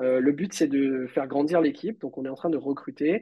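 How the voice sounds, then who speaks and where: Pitched fairly high, a man's plain, everyday voice rises and falls in an ordinary way. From Réunion. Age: 30s. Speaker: software engineer and entrepreneur. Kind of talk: casual interview.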